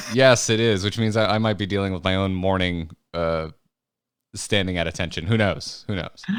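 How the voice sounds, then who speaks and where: A soft-spoken man with a very deep, low voice talks at a moderate pace. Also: fairly even intonation. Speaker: podcast co-host. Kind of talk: casual chat. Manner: soft, low-energy.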